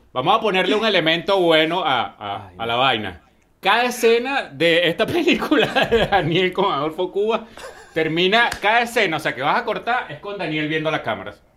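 The pitch swings very widely at a moderate pace. Background noise is noticeable. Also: man, high pitch for a man. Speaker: podcast co-host. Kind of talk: casual chat.

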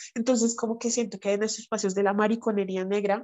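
Monotone, flat intonation in a strong Bogotá accent. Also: woman. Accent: strong Bogotá Colombian Spanish. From Colombia, Bogotá. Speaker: writer and anti-racist educator. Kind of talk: casual chat.

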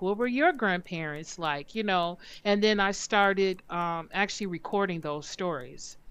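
A woman with an American accent speaks at a fairly slow pace in a medium pitch. It is a normal speaking voice against a quiet background. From northern US (Detroit area). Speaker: genealogy researcher and film festival founder. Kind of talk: interview.

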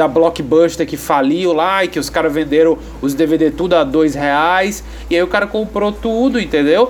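A man's fairly high-pitched voice with ordinary pitch variation, over noticeable background noise. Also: fairly slow pace. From Brazil. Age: 30s. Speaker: podcast host. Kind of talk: casual chat. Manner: halting, many fillers.

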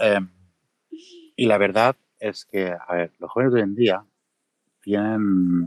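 With long, frequent pauses, a man speaks at a fairly low pitch and fairly even intonation in a dry, close sound with no echo. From Catalonia, Mataró. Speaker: video creator. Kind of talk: casual chat. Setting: Twitter Space audio room.

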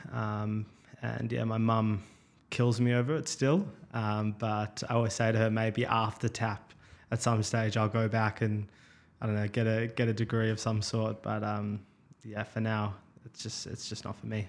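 A man talks at a moderate pace with an Australian accent and a medium pitch. His intonation is monotone and flat, broken by long, frequent pauses. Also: very clean recording, silent background. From Melbourne, Australia. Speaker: startup founder. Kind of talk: interview. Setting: studio, face-to-face.

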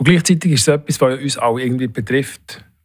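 Here a man has an unremarkable speaking voice, medium in pitch, with fairly even intonation. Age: 60s. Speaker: head of national eHealth coordination office. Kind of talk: interview.

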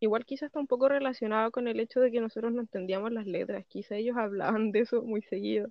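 A woman's unremarkable speaking voice, fairly high in pitch, fairly quick in pace, with fairly even intonation. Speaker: podcast co-host. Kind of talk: casual chat.

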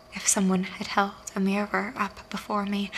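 What you hear is a natural reading voice.

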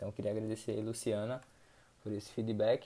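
A man's dark, mellow voice. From Recife, Pernambuco, Brazil. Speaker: weightlifting coach and podcast host. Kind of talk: solo podcast monologue. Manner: casual, frequent filler tags.

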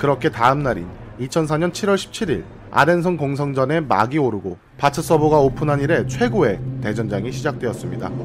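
Over music in the background, a man at medium pitch talks at a moderate pace with lively intonation. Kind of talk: dramatic storytelling narration. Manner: dramatic, measured storyteller pacing, building tension toward battle climaxes; single-voice, fluent and scripted, like a war chronicle.

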